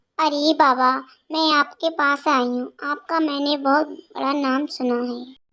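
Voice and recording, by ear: A woman's cartoonish character voice, high-pitched, fairly slow and fairly even in intonation, on a very clean recording with a silent background.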